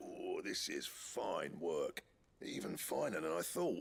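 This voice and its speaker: A man talks at a fairly slow pace. His put-on character voice is raspy. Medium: video game. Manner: gruff, blunt.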